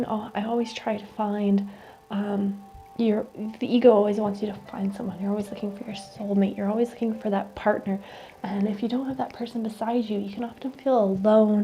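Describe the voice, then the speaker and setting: Over music in the background, a woman talks at a fairly quick pace in a fairly high pitch, her intonation monotone and flat. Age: late 20s. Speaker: reiki practitioner and oracle card reader. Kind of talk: oracle card reading, calm spiritual ASMR-style talk.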